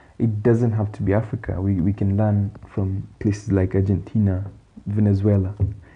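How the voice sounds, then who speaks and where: A man with a fairly low pitch talks at a moderate pace in a monotone, flat intonation. His voice is somewhat breathy. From Kenya. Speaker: economist podcast host. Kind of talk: solo podcast commentary. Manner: halting with fillers.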